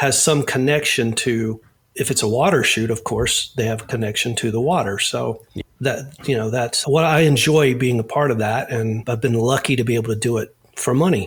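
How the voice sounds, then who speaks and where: A somewhat breathy man with an American accent, at a moderate pace. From US South. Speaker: safety diver and actor. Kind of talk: casual interview. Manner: relaxed, halting with repeated words.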